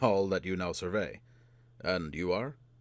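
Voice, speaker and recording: In a put-on character voice, a man booms at a very deep, low pitch with ordinary pitch variation and a moderate pace. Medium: read story. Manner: friendly, chatty.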